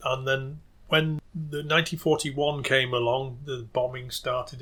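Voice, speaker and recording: The speaker has a Lancashire accent. The intonation stays fairly even. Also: man. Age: 60s. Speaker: folk musician and local historian. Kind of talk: interview. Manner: halting.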